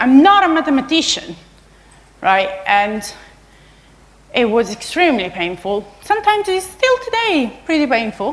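Her pitch swinging very widely, a woman talks at a moderate pace. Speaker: conference speaker. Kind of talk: lecture. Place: hall.

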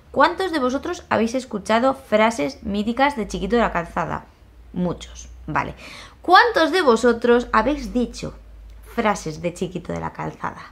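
Using a Spanish accent, a woman talks at a fairly slow pace with a fairly high pitch, very wide pitch swings and vocal fry. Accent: Peninsular Spanish. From Spain. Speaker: YouTuber. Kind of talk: casual vlog monologue. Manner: animated. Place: home room. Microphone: phone near.

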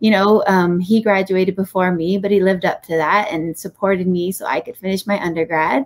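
A woman with a Hawaiian accent, a medium pitch and a fairly quick pace. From Hawaii, Laie (Oahu). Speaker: podcast guest. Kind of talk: podcast interview. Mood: warm, reflective. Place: home room.

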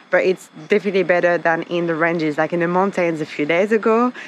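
A woman talks fairly quickly with ordinary pitch variation, light noise audible behind her. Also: dry sound with no echo. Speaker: travel vlogger. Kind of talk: casual vlog chat. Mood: relaxed, cheerful. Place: open country. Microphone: phone near.

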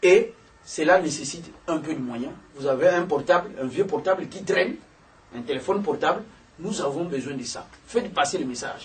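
A man with a high voice talks at a moderate pace, with ordinary pitch variation. His loudness swings widely, and he takes long, frequent pauses. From DR Congo. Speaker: opposition politician. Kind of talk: political talk show discussion. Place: office. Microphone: camera far.

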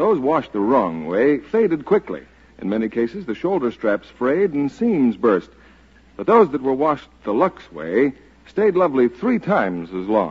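A man speaks at a moderate pace in an upbeat tone, his voice moving through very wide pitch swings. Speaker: radio announcer. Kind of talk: 1940s radio commercial, polished sales pitch. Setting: radio studio broadcast. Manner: smooth, upbeat, persuasive; formal, crisp announcer delivery. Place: studio. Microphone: old recording.

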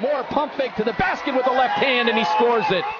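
An energetic man speaks at an extremely high pitch over loud background noise. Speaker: sports commentator. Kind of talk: sports play-by-play commentary. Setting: arena, at the game. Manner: fast-paced, excitable play-by-play; clipped, energetic, rapid-fire delivery. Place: hall. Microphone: headset.

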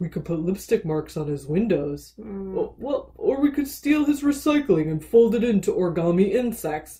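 A put-on character voice at middle pitch and a moderate pace, with hardly any pauses. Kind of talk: comic villain speech. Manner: grumpy, grandiose.

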